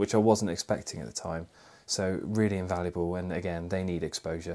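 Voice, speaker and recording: Fairly even intonation from a man at a fairly quick pace, against a quiet background. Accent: West Midlands. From England, Worcestershire. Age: 20s. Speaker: charity fundraiser. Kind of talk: video statement to camera.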